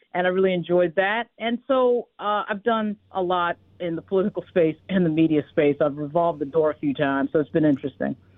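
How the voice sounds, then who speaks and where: A woman with an American accent speaks in a plain, everyday voice, fairly low in pitch. Her intonation is lively, and she takes hardly any pauses. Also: fairly quick pace. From New York. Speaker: political commentator and news founder. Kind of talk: radio interview.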